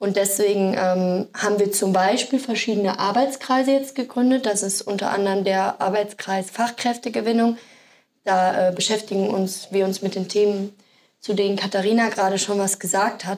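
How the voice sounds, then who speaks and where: A woman talks at a moderate pace in an ordinary speaking voice. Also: medium pitch for a woman, fairly even intonation. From Sauerland, Germany. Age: 20s. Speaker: project assistant. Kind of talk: casual interview.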